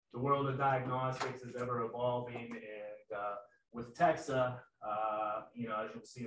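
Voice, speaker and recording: Room echo and light background noise surround a man speaking. His pace is moderate and his intonation fairly even. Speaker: sales manager presenting. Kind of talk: webinar presentation. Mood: friendly, self-deprecating. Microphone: video call.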